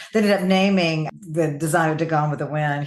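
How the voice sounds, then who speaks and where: Here is a woman with a Southern US accent and a very deep, low pitch. She talks at a fairly quick pace with ordinary pitch variation. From US South. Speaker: author. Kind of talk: interview.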